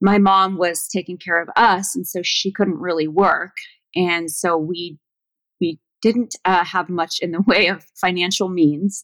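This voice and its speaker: A woman with an American accent has an unremarkable speaking voice, medium pitch and fairly even intonation at a fairly slow pace. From Southern California. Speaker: flower farmer and author. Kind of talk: interview.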